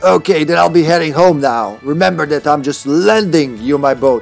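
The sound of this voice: Over clear background music, a man does a raspy, put-on character voice, fairly high in pitch, at a moderate pace with lively intonation.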